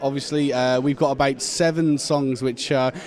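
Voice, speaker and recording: Moderately paced speech from a man, with clearly audible noise behind it. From Shropshire, England. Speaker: heavy metal band member. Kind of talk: casual interview. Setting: music festival. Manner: animated, halting with fillers.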